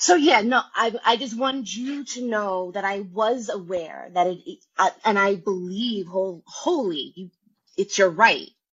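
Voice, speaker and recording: A plain, everyday voice, speaking at a fairly slow pace with lively intonation. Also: woman, medium pitch for a woman. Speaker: caller. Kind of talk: casual chat. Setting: phone call.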